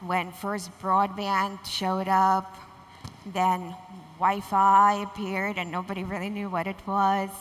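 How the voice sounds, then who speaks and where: Very slow delivery in a monotone, flat intonation, with audible room echo. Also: woman, medium pitch for a woman. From Russia. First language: Russian. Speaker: corporate communications executive. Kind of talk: conference panel talk.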